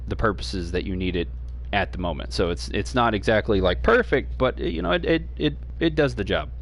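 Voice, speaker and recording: A man talks with noticeable vocal fry. His pitch swings very widely. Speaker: gaming streamer. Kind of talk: gameplay tutorial. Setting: home stream. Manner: fast; hesitant, many fillers.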